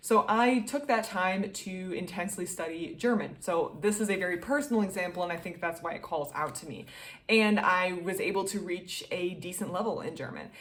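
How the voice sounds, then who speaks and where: Room echo is audible around a woman speaking at a medium pitch. Her loudness swings widely. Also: ordinary pitch variation, moderate pace, hardly any pauses. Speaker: book reviewer. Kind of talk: casual book review monologue. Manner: animated.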